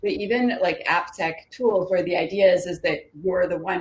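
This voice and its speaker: Here a woman has an unremarkable speaking voice, medium in pitch and fairly quick in pace. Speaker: security specialist panelist. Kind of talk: panel discussion.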